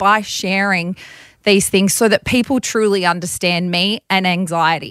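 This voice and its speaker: Speaking in an Australian accent, a woman talks at a moderate pace and medium pitch. The sound is dry and close with no echo, on a very clean recording with a silent background. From Bathurst, Australia. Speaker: radio breakfast host. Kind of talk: casual interview chat.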